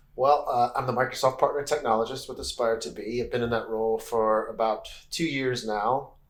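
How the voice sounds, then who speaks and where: An American-accented man talks at a fairly quick pace with hardly any pauses, his pitch medium and his intonation fairly even. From Texas. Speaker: education technologist, former teacher. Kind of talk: casual interview chat.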